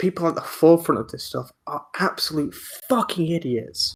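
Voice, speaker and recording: A man mumbles in a Welsh accent. He keeps a fairly quick pace. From Wales. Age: 20s. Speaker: podcast host. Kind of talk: casual chat. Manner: animated; stuttering, mumbling.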